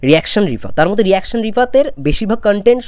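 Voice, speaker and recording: Against a quiet background, a man speaks with a high pitch and very wide pitch swings. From West Bengal, India. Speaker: YouTuber film commentator. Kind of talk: opinion vlog. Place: home room. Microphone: lapel.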